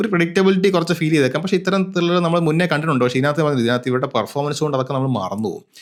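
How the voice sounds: Using a fairly high pitch with ordinary pitch variation, a man talks at a very fast pace.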